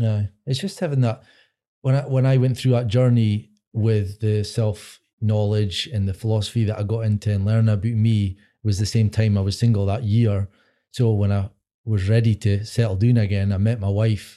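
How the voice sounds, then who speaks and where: In a Scottish accent, a man speaks at a moderate pace and fairly low pitch, his tone dark and mellow with fairly even intonation. Loudness stays very even in a very clean recording with a silent background. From Scotland. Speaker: podcast co-host. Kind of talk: casual chat. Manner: hesitant, filler-heavy.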